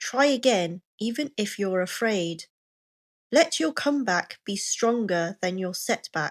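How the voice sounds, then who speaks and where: A woman speaks at a very slow pace in a Received Pronunciation accent. Her pitch is fairly high, and her intonation is lively. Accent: British Received Pronunciation. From England. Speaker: pronunciation coach. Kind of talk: motivational reading for pronunciation practice. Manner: slow, clear.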